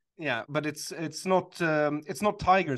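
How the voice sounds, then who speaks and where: The speaker talks at a moderate pace with a Swedish accent. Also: man. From Sweden. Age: 40s. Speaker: author and comedian. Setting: video call. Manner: halting, hesitant with fillers.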